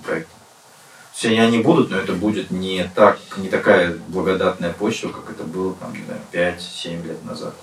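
Over noticeable background noise, a man talks at a moderate pace in a very deep, low pitch with ordinary pitch variation. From Russia, Western Siberia (Nizhnevartovsk). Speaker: bar owner and restaurateur. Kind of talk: casual interview. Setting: podcast studio.

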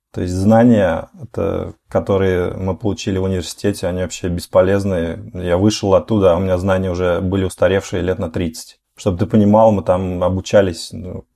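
Talking at a fairly quick pace with hardly any pauses, a man has a very deep, low pitch. His tone is dark and mellow, his intonation monotone and flat. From small Russian village. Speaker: blogger. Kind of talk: casual chat.

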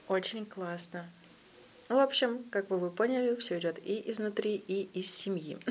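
A woman speaks at a moderate pace with ordinary pitch variation and a medium pitch. It is an unremarkable speaking voice. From Russia, Yekaterinburg. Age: 20s. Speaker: podcast host. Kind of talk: casual interview.

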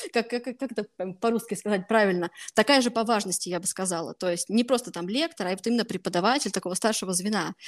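A woman's unremarkable speaking voice, fairly high in pitch with ordinary variation and a fairly quick pace, in a dry, close sound with no echo. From Russia, Voronezh. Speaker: master's student. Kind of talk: interview. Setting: video call.

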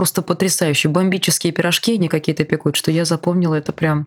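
This woman talks very fast. Her pitch is fairly low. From Bashkortostan, Russia. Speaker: podcast host. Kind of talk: interview.

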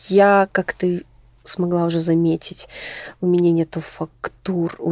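A woman with a dark, mellow tone and fairly low pitch is heard in a dry, close sound with no echo. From Moscow, Russia. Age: 20s. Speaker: fashion designer and stylist. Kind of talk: casual interview chat.

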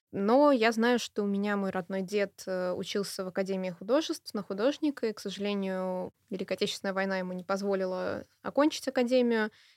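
A woman with an ordinary speaking voice talks at a fairly quick pace with hardly any pauses, her medium pitch showing ordinary pitch variation, in a very clean recording with a silent background and a dry, close sound with no echo. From Saint Petersburg, Russia. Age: 20s. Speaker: art historian and curator. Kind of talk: radio interview. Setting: studio.

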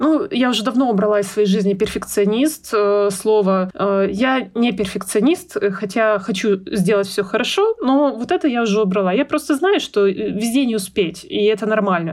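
At a moderate pace and hardly pausing, a woman with an unremarkable speaking voice talks at a fairly high pitch with lively intonation and very even loudness. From Russia, Urals (Yekaterinburg). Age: 30s. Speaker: mother. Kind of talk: casual chat.

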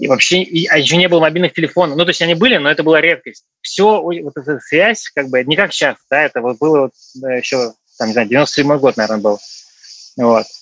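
Lively intonation marks this man's ordinary speaking voice, set at a fairly high pitch. The sound is dry and close, with no echo. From Russia. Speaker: returned emigrant. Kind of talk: casual interview.

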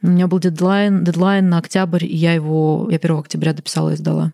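Her dark, mellow tone sits at a fairly low pitch for a woman, with very even loudness. She speaks at a moderate pace with monotone, flat intonation. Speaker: writer and poet. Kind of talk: casual interview conversation.

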